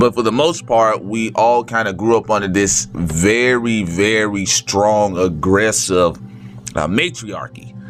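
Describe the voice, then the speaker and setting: A man with an American accent talks at a fairly slow pace in a fairly low pitch. His intonation is lively, and music plays behind him. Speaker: vlogger. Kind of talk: casual monologue.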